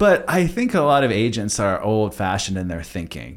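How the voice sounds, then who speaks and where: This is a normal speaking voice from a man, medium in pitch, with lively intonation. The recording is very clean, with a silent background. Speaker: podcast host, real estate agent. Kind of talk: casual interview chat.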